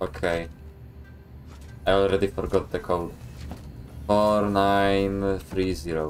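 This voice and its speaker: Faint music plays in the background as a man with a Polish accent speaks at a fairly slow pace in a very deep, low pitch. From Poland. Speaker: video game streamer; streamer. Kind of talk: live gameplay commentary. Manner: animated. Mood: joking, sarcastic.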